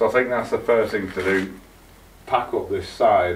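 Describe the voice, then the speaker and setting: Light background noise sits under a voice moving at a moderate pace with ordinary pitch variation. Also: man. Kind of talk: casual vlog chat. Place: garden. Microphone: camera far.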